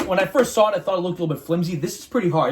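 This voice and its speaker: A man speaks. His voice is pitched high for a man. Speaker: youtuber. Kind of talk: unboxing video. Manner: hesitant with fillers.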